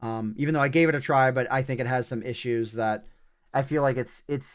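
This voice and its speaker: A man talks at a medium pitch in an unremarkable speaking voice, with ordinary pitch variation. The recording is very clean, with a silent background. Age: 30s. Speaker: gaming streamer. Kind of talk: live game commentary. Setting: livestream. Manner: casual, with fillers and restarts.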